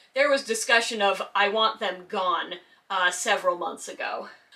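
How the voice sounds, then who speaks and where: A woman with an American accent speaks in a calm tone at a moderate pace, her pitch fairly high. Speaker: YouTuber discussing community drama. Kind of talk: casual commentary monologue. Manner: calm but sarcastic.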